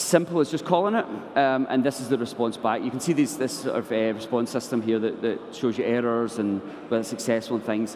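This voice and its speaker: Someone with a Scottish accent speaks at a fairly quick pace against noticeable background noise. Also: man, medium pitch for a man, ordinary pitch variation. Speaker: software developer. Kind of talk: conference tech talk. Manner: halting, many fillers.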